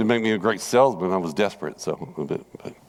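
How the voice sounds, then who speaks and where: Someone with a Southern US accent talks at a very fast pace. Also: man. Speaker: Bible class teacher. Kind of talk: Bible study lesson. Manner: conversational, repetitive.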